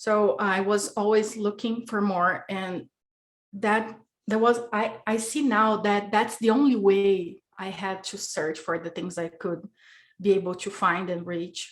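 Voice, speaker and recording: Speaking at a fairly slow pace with a Brazilian Portuguese accent, a woman keeps a medium pitch and fairly even intonation. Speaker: podcast guest. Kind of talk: casual interview chat. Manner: halting.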